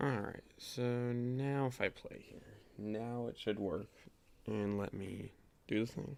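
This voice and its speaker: Soft-spoken and at a very slow pace, the voice keeps fairly even intonation. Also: man, medium pitch for a man. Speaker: game developer streaming. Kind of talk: live coding stream, casual. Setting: live stream.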